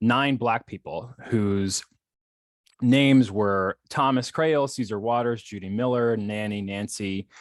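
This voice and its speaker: The voice carries an American accent with ordinary pitch variation. The sound is dry and close, with no echo. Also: man. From Philadelphia Main Line, Pennsylvania. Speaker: scholar in residence, local historian. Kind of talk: lecture. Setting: video call. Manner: fast; halting, many fillers and restarts.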